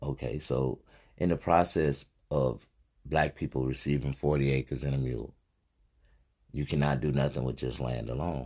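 A man speaks at a very deep, low pitch with vocal fry and fairly even intonation. His pace is moderate, broken by long, frequent pauses. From US South. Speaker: podcast host. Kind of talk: casual chat.

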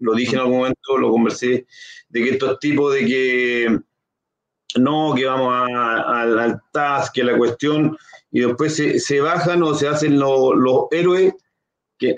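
Speaking fairly slowly, a man keeps a medium pitch and fairly even intonation. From Chile, Concepción. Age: 40s. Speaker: local council candidate, sports club leader. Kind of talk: interview. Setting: live stream. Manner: halting.

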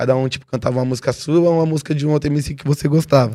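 A man with a São Paulo accent talks at a fairly high pitch in a dark, mellow tone with fairly even intonation. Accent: São Paulo Portuguese (paulistano). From São Paulo, East Zone. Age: 20s. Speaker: rapper. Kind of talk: casual chat.

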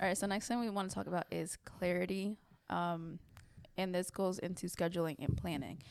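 A woman with a plain, everyday voice, fairly quick pace and fairly even intonation. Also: fairly low pitch for a woman. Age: 20s. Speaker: podcast host and content creator. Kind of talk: casual chat.

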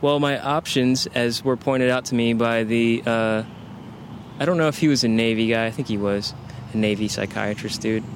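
A man with a plain, everyday voice, medium pitch, fairly even intonation, very even loudness and a moderate pace. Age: 30s. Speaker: war veteran. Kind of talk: casual chat. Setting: outdoors.

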